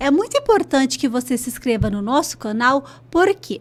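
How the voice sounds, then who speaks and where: Animated in tone, a woman with a high pitch speaks at a moderate pace. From northern Paraná, Brazil. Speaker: podcast host. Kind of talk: podcast intro with sponsor read. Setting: studio.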